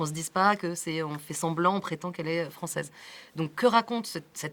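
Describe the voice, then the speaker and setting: The speech moves at a fairly quick pace with ordinary pitch variation and big swings in loudness. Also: woman, fairly low pitch for a woman. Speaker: film director. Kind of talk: interview. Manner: fast.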